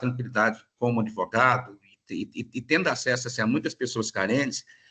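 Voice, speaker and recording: There's a bright, sharp tone to this man's voice. He talks at a medium pitch and a moderate pace. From Minas Gerais, Brazil. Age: 40s. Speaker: lawyer giving a talk. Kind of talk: lecture. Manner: hesitant, many fillers.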